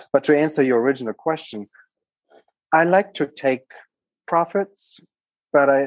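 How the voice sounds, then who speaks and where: In a German accent, a man speaks with ordinary pitch variation, the sound dry and close with no echo. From Germany. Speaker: startup founder and investor. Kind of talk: casual interview.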